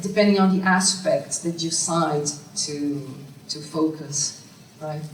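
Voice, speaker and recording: With a Brazilian accent, a woman speaks at a fairly slow pace and fairly low pitch with fairly even intonation, amid audible room echo and noticeable background noise. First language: Portuguese. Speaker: academic researcher. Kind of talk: conference Q&A. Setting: conference room with audience. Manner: halting.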